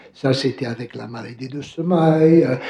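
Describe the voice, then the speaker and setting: At a very slow pace, a man talks with fairly even intonation over noticeable background noise. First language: English (speaking French). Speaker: professor. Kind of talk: academic Q&A answer. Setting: conference hall, also streamed by video. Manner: halting, many fillers.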